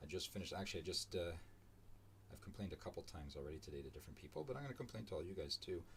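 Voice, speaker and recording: Speaking at a very fast pace, a man uses lively intonation in a somewhat breathy, very deep, low-pitched voice. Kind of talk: casual live-stream commentary while drawing. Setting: live stream from home. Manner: rambling, hesitant with many fillers; mumbling, trailing off. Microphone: too quiet at first, volume raised.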